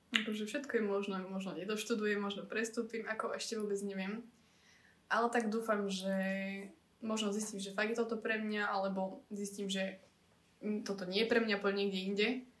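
Noticeable background noise runs under a woman's medium-pitched voice. She speaks at a moderate pace with monotone, flat intonation. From central Slovakia. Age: 20s. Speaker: student and beauty pageant finalist. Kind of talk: casual chat.

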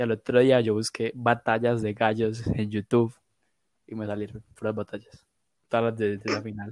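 A man speaks in a monotone, with flat intonation. The sound is dry and close, with no echo. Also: medium pitch for a man, moderate pace. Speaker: podcast host. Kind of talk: casual chat.

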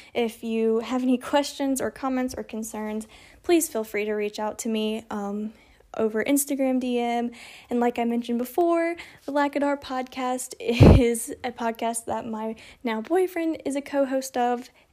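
There is noticeable background noise as a woman speaks at a moderate pace. She has a high pitch and ordinary pitch variation. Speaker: faith podcast host. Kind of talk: testimony.

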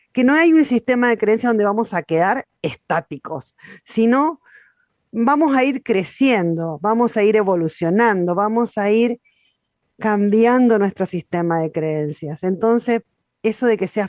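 Speaking at a fairly slow pace, a woman has a medium pitch and lively intonation. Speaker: spiritual facilitator. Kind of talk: guided meditation.

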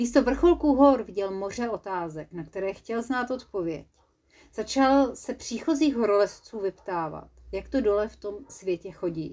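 Playful, animated delivery with lively intonation at a fairly slow pace, in a very clean recording against a silent background. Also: woman. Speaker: storyteller. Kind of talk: children's story narration. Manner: playful, animated, lively.

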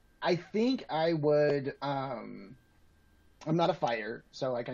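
A man with an American accent uses a plain, everyday voice at medium pitch, his intonation lively. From Atlanta, US South. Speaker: podcast guest. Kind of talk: casual chat.

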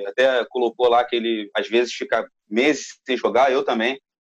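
A man's plain, everyday voice at a fairly slow pace, with ordinary pitch variation, a quiet background and a dry, close sound with no echo. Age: 30s. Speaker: gaming podcast panelist. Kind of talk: casual chat.

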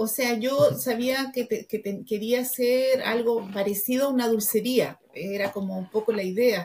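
A woman talks at a fairly high pitch over noticeable background noise. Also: fairly even intonation. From Argentina, raised in Chile from age 12. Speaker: entrepreneur, confectionery business founder. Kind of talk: interview. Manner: halting, many repetitions.

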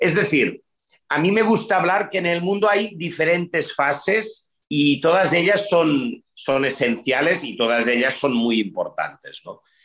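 A man at a high pitch, lively in intonation, at a fairly slow pace. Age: 50s. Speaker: urban development executive. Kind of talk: interview.

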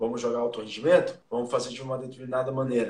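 Very fast speech from a medium-pitched man, with noticeable background noise. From interior of São Paulo state, Brazil (Jaú). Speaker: sports journalist and rugby administrator. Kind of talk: casual interview.

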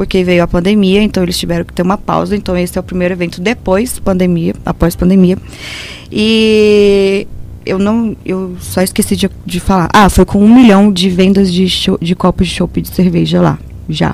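Noticeable background noise sits behind the voice. The delivery is monotone and flat at a moderate pace. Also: woman, medium pitch for a woman. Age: 30s. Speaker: beer radio co-host. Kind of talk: casual chat.

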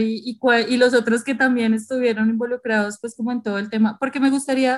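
On a very clean recording with a silent background, a woman speaks at a fairly quick pace in a high pitch with monotone, flat intonation. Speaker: podcast co-host. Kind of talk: casual podcast discussion.

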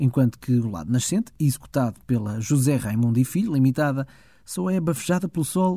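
In a European Portuguese accent, a man talks at a fairly quick pace, his dark, mellow tone somewhat breathy. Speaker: podcast host. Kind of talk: scripted narration.

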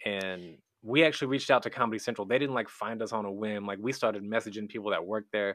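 A man's fairly low voice, very fast pace and fairly even intonation. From small rural town. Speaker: comedian and cartoonist. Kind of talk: casual chat.

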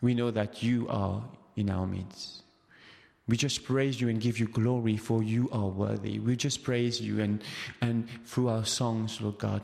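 Monotone, flat intonation marks this man's speech. He talks at a fairly slow pace with a Mauritian accent. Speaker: preacher. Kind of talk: sermon. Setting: church. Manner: halting, hesitant with fillers.

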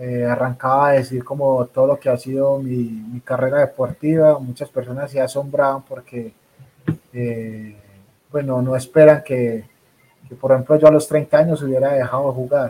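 The man's voice has a dark, mellow tone and monotone, flat intonation. His loudness swings widely. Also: medium pitch for a man, moderate pace. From Colombia. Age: 30s. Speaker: rugby player turned coach. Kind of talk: interview.

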